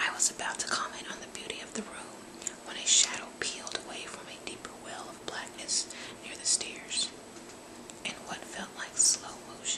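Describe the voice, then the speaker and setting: A woman whispers, her loudness swinging widely. Noticeable background noise sits behind her. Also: moderate pace. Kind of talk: book reading. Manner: whispered; soft-spoken.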